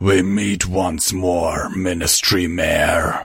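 In a put-on character voice, a man speaks very slowly with a raspy, rumbling, very deep and low pitch. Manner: menacing.

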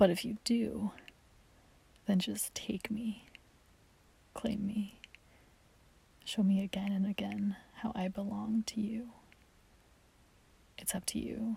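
A put-on character voice, dark and mellow with a husky, rough edge and vocal fry, slow-paced with little pitch movement and long, frequent pauses. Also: woman, medium pitch for a woman.

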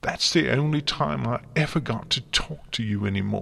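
Putting on a character voice, a man speaks in a medium pitch with vocal fry, a slightly husky edge and a fairly bright tone. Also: ordinary pitch variation, moderate pace.

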